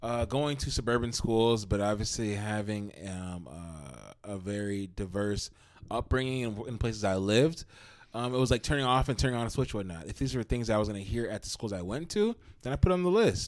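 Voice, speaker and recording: An unremarkable speaking voice from a man with an American accent, fairly low in pitch, with lively intonation at a fairly quick pace. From Minnesota, Brooklyn Center. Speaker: podcast co-host. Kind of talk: casual chat.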